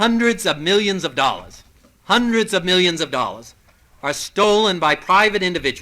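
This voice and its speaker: A man speaks in a raised, projected voice with an American accent, pitched high for a man. His tone is bright and sharp, with lively intonation at a moderate pace. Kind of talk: political speech. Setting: old tape recording, some parts corrupted.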